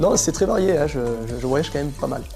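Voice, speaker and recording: A man talking at a fairly quick pace, with music in the background. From southern France. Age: 30s. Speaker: cave tour guide. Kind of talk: interview answer. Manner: casual, hesitant.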